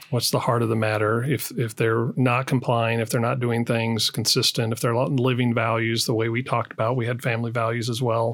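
A man speaks in a flat monotone. He barely pauses at all. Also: medium pitch for a man, fairly quick pace, very even loudness. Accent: American. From US, southern Colorado. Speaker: business executive. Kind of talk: interview.

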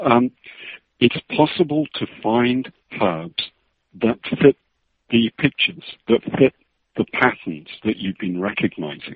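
A man talks very slowly with a British accent. He leaves long, frequent pauses, and his pitch swings very widely. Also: medium pitch for a man. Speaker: medical herbalist. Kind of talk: interview. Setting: phone call.

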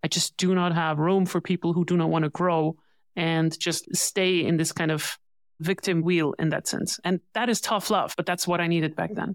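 At a moderate pace, a woman with a plain, everyday voice speaks with fairly even intonation on a very clean recording with a silent background. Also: fairly low pitch for a woman. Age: 40s. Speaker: growth advisor for tech companies. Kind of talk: interview.

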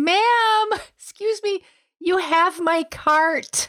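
An extremely high-pitched put-on character voice moves at a very slow pace. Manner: polite, puzzled.

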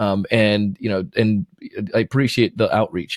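Here is a normal speaking voice with ordinary pitch variation. It moves at a moderate pace. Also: man. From Jamaica, moved to Florida at nine. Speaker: sales trainer and podcast host. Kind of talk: casual interview.

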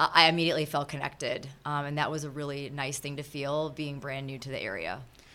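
A woman's very deep, low voice with a bright, sharp tone and an Upper Midwest accent, very fast with hardly any pauses, fairly even in intonation but with big swings in loudness. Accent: Upper Midwest American. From Minnesota. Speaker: charity volunteer. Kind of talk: interview.

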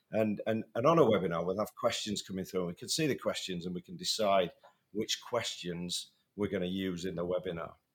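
On a very clean recording with a silent background, a man with a British accent talks at a fairly quick pace with lively intonation. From England. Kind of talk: casual podcast conversation.

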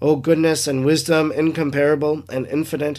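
A man speaks in a normal speaking voice at a fairly high pitch and a moderate pace. The recording is very clean, with a silent background. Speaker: priest podcaster reading and reflecting on a devotional book. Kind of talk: reading aloud of devotional text, prayerful. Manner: solemn, reverent, measured; earnest, devout, heartfelt.

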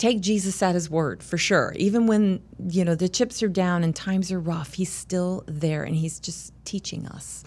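A woman with an American accent speaks at a moderate pace with ordinary pitch variation, in an unremarkable speaking voice. The recording is very clean and the background silent. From US South, Charleston, South Carolina. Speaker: company employee. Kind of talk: interview conversation.

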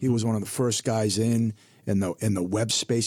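On a very clean recording with a silent background, a man with a plain, everyday voice talks at a fairly low pitch and a fairly quick pace, with fairly even intonation. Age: 50s. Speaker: financial advisor. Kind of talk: casual chat. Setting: studio.

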